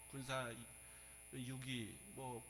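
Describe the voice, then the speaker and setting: Bright and sharp in tone, the medium-pitched voice of a man. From Seoul. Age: 60s. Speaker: pastor. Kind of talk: sermon.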